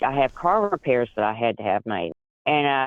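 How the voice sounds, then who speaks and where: With an ordinary speaking voice, a man talks at a moderate pace and medium pitch, his intonation lively. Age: 60s. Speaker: caller. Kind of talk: advice call-in conversation.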